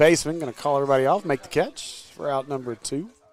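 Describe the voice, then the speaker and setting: Speaking with an American accent over noticeable background noise, a man has a fairly high pitch and ordinary pitch variation. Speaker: sports commentator. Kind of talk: live commentary. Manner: loud.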